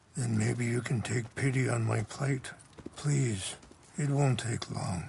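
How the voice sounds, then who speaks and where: Using a put-on character voice, a man speaks raspy and fairly slowly at medium pitch. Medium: video game. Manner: slow, calm, reflective.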